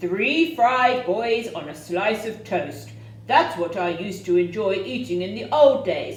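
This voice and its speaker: A booming, put-on character voice at a middle pitch carries a slight echo. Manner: menacing, feigning friendliness.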